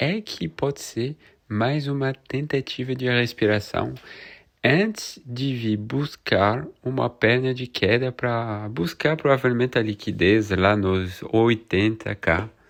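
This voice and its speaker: Speaking at a very slow pace, a man has a French accent. The background is quiet. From France. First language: French (speaking Portuguese). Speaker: crypto market analyst youtuber. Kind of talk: market analysis video. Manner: casual, conversational.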